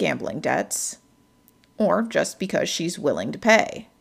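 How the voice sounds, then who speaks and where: A woman speaks fairly slowly in a somewhat breathy, dramatic tone. Her pitch is medium and varies an ordinary amount. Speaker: podcast host narrator. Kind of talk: noir short story narration, scripted true-crime style retelling. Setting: studio podcast. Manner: dramatic, measured storyteller delivery with ominous tone; formal, polished scripted reading.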